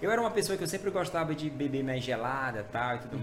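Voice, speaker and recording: A man's fairly high-pitched voice with lively intonation, audible room echo, and music in the background. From Maranhão, Brazil. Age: 40s. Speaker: pastor. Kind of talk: testimony. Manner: casual, halting with fillers.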